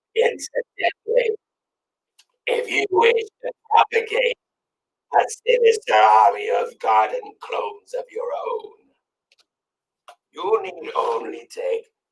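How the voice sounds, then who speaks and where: A man puts on a character voice at an extremely high pitch, talking at a fairly slow pace with long, frequent pauses. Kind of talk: gothic mock-solemn pronouncement. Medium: game stream. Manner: grave, ceremonious, deadpan.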